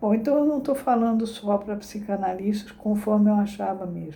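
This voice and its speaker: Amid audible room echo, a woman with a Rio de Janeiro accent and a fairly high pitch speaks at a moderate pace, somewhat breathy, in a dark, mellow tone. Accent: Rio de Janeiro (carioca). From Brazil, Rio de Janeiro. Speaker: psychoanalysis teacher. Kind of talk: lecture with reading aloud.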